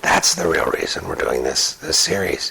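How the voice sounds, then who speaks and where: A man whispers at a moderate pace, noticeable background noise behind him. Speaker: motivational speaker. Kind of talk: casual talk to camera. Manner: halting, fumbling over words.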